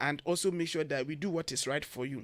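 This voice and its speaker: Here a man talks with a high pitch at a fairly quick pace. The recording is very clean, the background silent. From Ghana. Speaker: education consultant. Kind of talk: radio interview.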